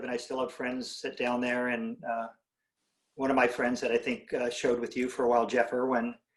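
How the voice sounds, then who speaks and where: A man speaks at medium pitch in a West Coast American accent. He keeps a fairly quick pace. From Southern California (Whittier). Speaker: ceramic artist and art professor. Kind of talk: casual interview. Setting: video call.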